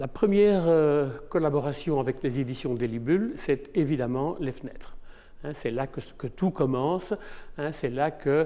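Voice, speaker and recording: In a very clean recording with a silent background, a man with a fairly high voice and a dark, mellow tone talks at a fairly slow pace with ordinary pitch variation. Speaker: photographer. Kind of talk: interview testimony. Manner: hesitant, with many fillers.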